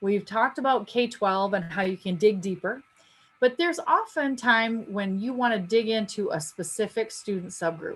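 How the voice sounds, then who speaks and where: A somewhat breathy woman's voice, fairly high in pitch, with lively intonation. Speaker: education trainer presenting a data webinar. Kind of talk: webinar tutorial. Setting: online webinar. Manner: fast.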